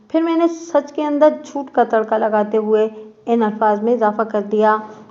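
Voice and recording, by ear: Someone is reading aloud in a natural voice.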